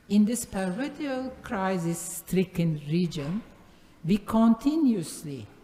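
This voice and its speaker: Over noticeable background noise, a woman with a medium pitch speaks at a very slow pace with lively intonation. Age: 70s. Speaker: art curator. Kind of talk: conference talk. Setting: conference forum. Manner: hesitant, with frequent fillers.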